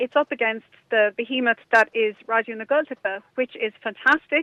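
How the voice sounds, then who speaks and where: A woman speaks with a Kerry accent. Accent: Kerry Irish. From Ireland, Kerry (Dingle area). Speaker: radio presenter and online entrepreneur. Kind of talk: interview.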